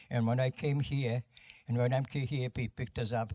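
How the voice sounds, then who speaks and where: A man speaks at medium pitch, somewhat breathy and with fairly even intonation. The sound is dry and close, with no echo. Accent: Polish. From Poland. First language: Polish. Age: 90s. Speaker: war veteran. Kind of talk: testimony. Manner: halting.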